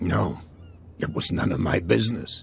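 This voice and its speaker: Against clear background noise, a man puts on a raspy character voice and speaks at a moderate pace. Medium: machinima. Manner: guarded, genial.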